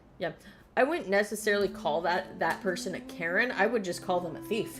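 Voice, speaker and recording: Over noticeable background noise, a woman with a medium pitch speaks at a fairly quick pace in an animated tone with ordinary pitch variation. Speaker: video game streamer. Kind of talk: live gameplay stream chat.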